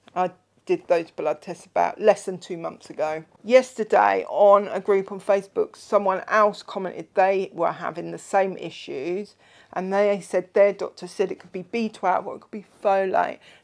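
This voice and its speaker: Over a silent background in a very clean recording, a woman with vocal fry speaks at a medium pitch with ordinary variation and big swings in loudness. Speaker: vlogger sharing diet journey. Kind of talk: casual video update. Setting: seated in a chair at home. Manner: slow; chatty.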